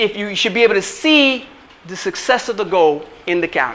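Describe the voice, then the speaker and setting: A man with a high pitch raises and projects his voice in an animated tone with lively intonation. Noticeable background noise runs behind him. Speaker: chiropractor and wellness coach. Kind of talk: motivational workshop talk. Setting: workshop with live audience. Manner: fast.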